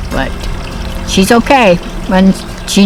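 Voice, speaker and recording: A woman speaks at a fairly slow pace with ordinary pitch variation. Noticeable background noise runs under her voice. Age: 80s+. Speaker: turtle owner. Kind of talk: interview.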